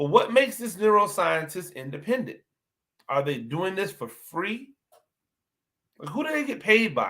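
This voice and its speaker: Animated and bright with a sharp edge, a man's high voice swings very widely in pitch, projected loudly at a moderate pace with long, frequent pauses. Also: big swings in loudness. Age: 40s. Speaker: podcast host and football coach. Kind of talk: solo podcast commentary. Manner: repeats words and restarts.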